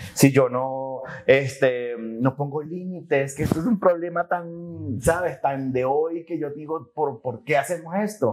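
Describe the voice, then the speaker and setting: Speaking very slowly with hardly any pauses, a man uses a fairly high pitch and ordinary pitch variation. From Venezuela (Maturín). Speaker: life coach. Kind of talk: podcast interview. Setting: outdoors at a boutique hotel.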